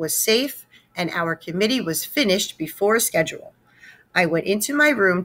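A text is read aloud in a natural voice. Lively intonation marks the delivery.

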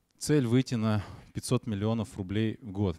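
Against a quiet background, a man speaks at a fairly low pitch with ordinary pitch variation. His tone is dark and mellow, and the sound is dry with no echo. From Perm, Russia; Russia. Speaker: web agency director; conference presenter. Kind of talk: conference talk. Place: hall. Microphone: handheld.

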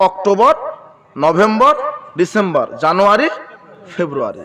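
In a raised, projected voice, this man speaks with a high pitch. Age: 20s. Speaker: Islamic preacher. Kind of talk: sermon.

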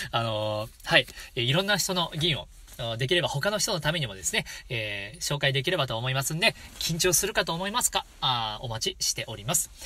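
A man speaks at a fairly quick pace with a fairly high pitch and very wide swings in pitch. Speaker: shigin (Japanese poetry chanting) channel host. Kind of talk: casual solo talk to viewers.

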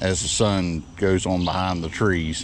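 Against faint background noise, a man speaks slowly at a low pitch with fairly even intonation.

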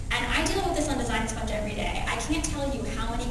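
A woman is heard in a room with strong echo and noticeable background noise. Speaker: keynote speaker. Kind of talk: conference keynote. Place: hall.

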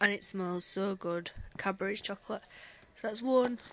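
A woman speaks quietly with a British accent at a medium pitch. There is noticeable background noise. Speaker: vlogger. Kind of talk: casual vlog.

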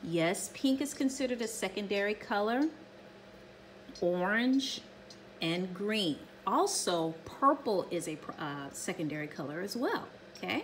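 Pausing long and often, a woman speaks at a fairly slow pace over light background noise. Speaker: art teacher. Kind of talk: tutorial. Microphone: phone near.

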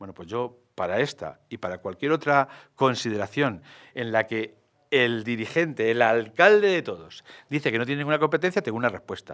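At a moderate pace over a quiet background, the voice moves with lively intonation and big swings in loudness. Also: man, medium pitch for a man. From Madrid, Spain; Spain. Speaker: mayoral candidate, architect; candidate. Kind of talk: political interview. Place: studio. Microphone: studio mic.

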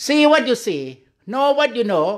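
Behind a man's speech, the background stays quiet. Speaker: Buddhist monk meditation teacher. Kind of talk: guided meditation. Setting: online video call. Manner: slow, calm, gently instructing with pauses; simple, repetitive, halting English. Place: hall. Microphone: studio mic.

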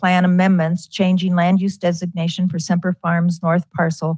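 Somewhat breathy, a woman is heard in a dry sound with no echo against a quiet background. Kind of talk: formal meeting procedure reading. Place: hall.

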